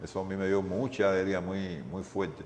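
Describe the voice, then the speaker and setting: A man is speaking. Music plays in the background. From Cuba, Havana. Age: 60s. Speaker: retired volleyball player. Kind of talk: interview. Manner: halting, repetitive.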